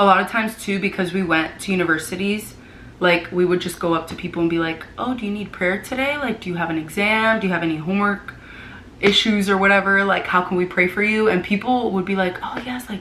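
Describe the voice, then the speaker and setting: At a very fast pace, a woman speaks at medium pitch with ordinary pitch variation. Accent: American. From Florida, US. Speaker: vlogger and former missionary. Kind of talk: casual chat.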